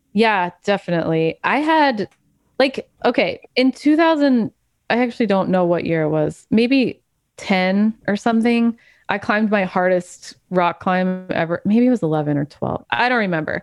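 In a Wisconsin accent, a woman talks at a fairly slow pace with lively intonation, the sound dry and close with no echo on a very clean recording with a silent background. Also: medium pitch for a woman. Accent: Wisconsin (Upper Midwest). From US Midwest, Wisconsin. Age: 40s. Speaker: climbing nutritionist and podcast host. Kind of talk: casual interview conversation.

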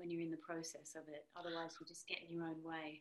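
With an Australian accent, a woman talks at a fairly low pitch. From Australia (Sydney). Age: 30s. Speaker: singer-songwriter. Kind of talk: casual interview.

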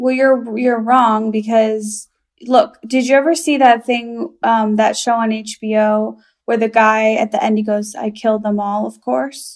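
A woman with an American accent has a plain, everyday voice, fairly high in pitch, with fairly even intonation. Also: fairly slow pace. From Chicago, US Midwest. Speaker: stand-up comedian. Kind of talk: casual chat.

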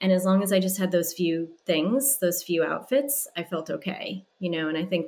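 A woman uses a normal speaking voice at a fairly low pitch, talking at a moderate pace with ordinary pitch variation. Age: 40s. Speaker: stylist and dating coach. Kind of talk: casual chat.

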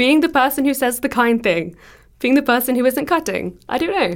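A woman speaks with an English accent. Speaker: podcast producer. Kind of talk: casual chat.

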